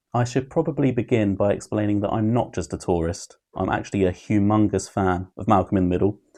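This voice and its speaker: Against a quiet background, a man talks at a fairly quick pace with hardly any pauses. His voice is fairly low with a dark, mellow tone. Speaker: YouTube TV reviewer. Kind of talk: opinion review monologue. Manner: monotone.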